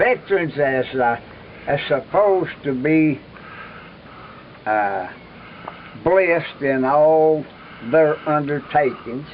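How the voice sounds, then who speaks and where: With noticeable background noise, a man in an American accent speaks at a very slow pace with long, frequent pauses, a fairly high pitch and ordinary pitch variation. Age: 80s+. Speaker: war veteran. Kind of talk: interview answer.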